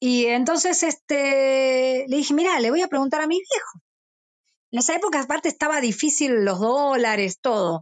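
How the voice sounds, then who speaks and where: A woman speaks with a Rioplatense accent at a high pitch. Her intonation is lively, and her pace is moderate. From Argentina, Buenos Aires suburbs. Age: 50s. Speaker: rock musician. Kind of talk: interview. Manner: talkative.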